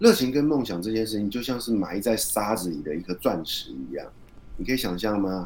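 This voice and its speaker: A man with a normal speaking voice, fairly low in pitch, lively in intonation and fairly quick in pace. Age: 40s. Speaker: author and podcaster. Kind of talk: interview.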